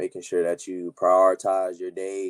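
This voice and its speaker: A man talks in a very deep, low voice with monotone, flat intonation. The sound is dry and close, with no echo. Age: young. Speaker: young entrepreneur. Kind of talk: interview. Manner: hesitant, many fillers.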